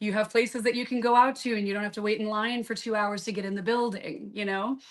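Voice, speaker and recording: A woman with a Southern US accent speaks in a fairly high, monotone voice with flat intonation. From Southern Florida, born in Kentucky. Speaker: musician. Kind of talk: casual chat. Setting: live video podcast.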